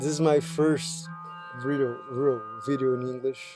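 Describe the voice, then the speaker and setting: A man at a medium pitch with a non-native accent, speaking at a very slow pace with fairly even intonation over music in the background. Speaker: composer and music producer. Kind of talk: personal video monologue. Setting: studio. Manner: halting.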